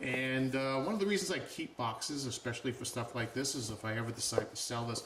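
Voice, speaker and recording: A man speaks very fast while noticeable noise carries on in the background. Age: 60s. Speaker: watch reviewer. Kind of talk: product review tutorial. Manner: casual, conversational.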